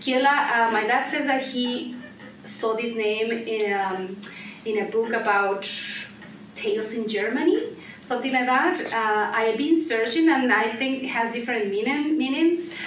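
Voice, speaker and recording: A woman speaks at a moderate pace in a fairly high pitch with ordinary pitch variation. Noticeable background noise and audible room echo surround her voice. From central Mexico. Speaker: singer and artist. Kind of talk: interview. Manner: halting.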